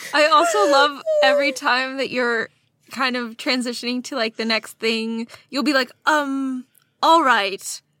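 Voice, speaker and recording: Using a raised, projected voice, a woman with a high pitch and a bright, sharp tone speaks at a fairly slow pace with fairly even intonation, the sound dry and close with no echo. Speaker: audio editor and sound designer. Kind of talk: casual chat.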